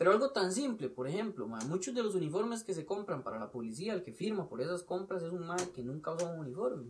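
With a Costa Rican accent, the speech races at a very fast pace with hardly any pauses and very wide pitch swings. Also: man, high pitch for a man. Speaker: police officer. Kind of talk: casual chat.

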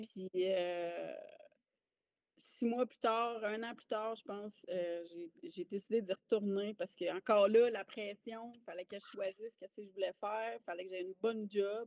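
A woman has an unremarkable speaking voice, medium in pitch and fairly even in intonation, at a moderate pace with big swings in loudness, the sound dry and close with no echo. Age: 30s. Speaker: army veteran and mindset coach. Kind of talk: casual interview chat.

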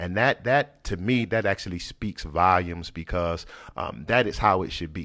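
Very deep and low in pitch with vocal fry, a man's bright, sharp voice moves at a moderate pace with lively intonation. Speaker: pastor and podcast host. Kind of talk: casual chat.

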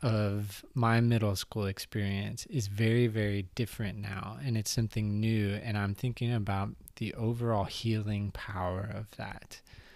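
Recorded very cleanly against a silent background, a man with an unremarkable speaking voice talks at a fairly slow pace and a fairly low pitch, with ordinary pitch variation. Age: 30s. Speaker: podcast host, former teacher. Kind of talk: casual chat. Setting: recording on a couch at home.

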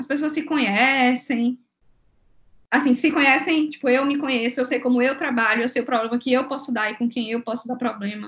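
The woman's voice sits high in pitch, moving at a moderate pace with fairly even intonation. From Bahia, Brazil. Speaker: business consultant and entrepreneur. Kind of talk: casual chat.

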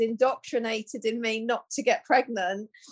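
A woman's fairly high voice, a normal speaking voice, rises and falls with ordinary pitch variation. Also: quiet background. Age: 50s. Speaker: menopause educator and therapist. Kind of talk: casual chat.

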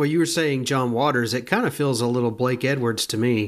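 A man's unremarkable speaking voice, fairly quick and at a medium pitch, with fairly even intonation on a very clean recording over a silent background. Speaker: podcast co-host. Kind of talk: film commentary, casual chat.

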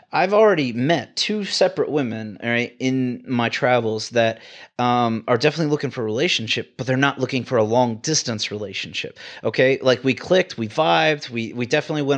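An American man talks at a very fast pace with lively intonation. His pitch sits in the medium range. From Texas, Houston. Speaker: travel ICU nurse. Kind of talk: casual chat.

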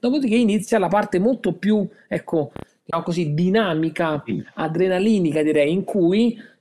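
A man's dark, mellow voice, high-pitched for a man, with ordinary pitch variation. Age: 40s. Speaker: board game collector. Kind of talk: casual chat. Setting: remote call.

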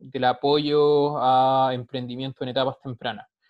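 A man talks very slowly at a medium pitch. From Chile. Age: 30s. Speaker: social entrepreneur, startup sales director. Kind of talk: interview. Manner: halting, frequent repetitions.

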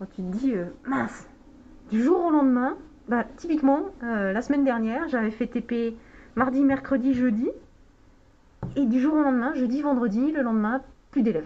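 Her high pitch sits on a dark, mellow tone as this woman moves at a moderate pace, broken by long, frequent pauses. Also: ordinary pitch variation. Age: 40s. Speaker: chemistry lecturer and researcher. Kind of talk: casual interview. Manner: halting, many hesitations.

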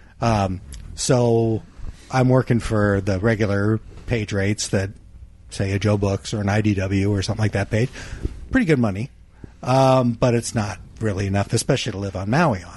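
A somewhat breathy man's voice, fairly low in pitch with ordinary variation, at a moderate pace with long, frequent pauses. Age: 40s. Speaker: comic book artist. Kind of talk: casual chat.

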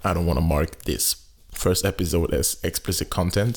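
Fairly slow, somewhat breathy speech from a man. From Cameroon. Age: 20s. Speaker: podcast host. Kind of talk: casual monologue.

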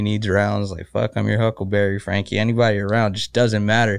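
Talking at a very fast pace, a man uses a fairly low voice. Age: 30s. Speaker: professional fighter. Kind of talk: casual chat.

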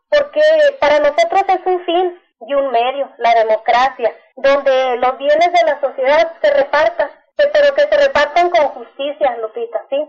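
Her pitch high, a woman talks at a fairly slow pace. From Chihuahua, Mexico. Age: 40s. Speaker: farmers' cooperative organizer. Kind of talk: interview.

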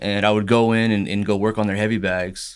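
With an American accent, a man talks at a fairly quick pace in an ordinary speaking voice, fairly low in pitch, on a very clean recording with a silent background. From Texas (Ennis). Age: 30s. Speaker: small business owner. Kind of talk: casual interview.

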